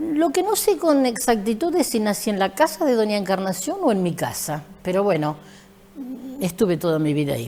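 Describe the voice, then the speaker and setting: Her pitch swings very widely around a medium level at a moderate pace. This woman's voice comes through noticeable background noise. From Argentina, San Andrés de Giles (Buenos Aires province). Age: 70s. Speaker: retired school teacher and principal. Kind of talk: interview.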